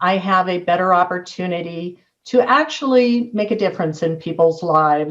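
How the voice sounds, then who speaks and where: Using a plain, everyday voice, a woman with an American accent speaks at a medium pitch and moderate pace, with lively intonation and hardly any pauses. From US West Coast, San Diego. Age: 60s. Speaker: real estate agent. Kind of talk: interview.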